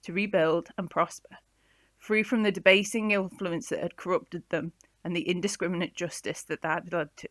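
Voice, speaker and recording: A woman's shaky voice at medium pitch, with fairly even intonation and a moderate pace. The recording is very clean and dry, close-miked with no echo and a silent background. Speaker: author. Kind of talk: reading aloud.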